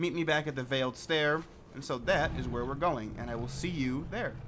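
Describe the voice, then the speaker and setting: A man talks at a fairly quick pace in a bright, sharp tone, his pitch fairly high. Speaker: gaming lore video creator. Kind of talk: gameplay commentary. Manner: soft-spoken.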